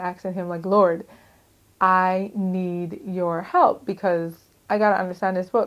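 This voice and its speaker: Her pitch medium, a woman speaks at a fairly slow pace. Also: very clean recording, silent background. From US Virgin Islands, St. Croix. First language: Crucian Creole. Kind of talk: testimony. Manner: casual, halting with fillers.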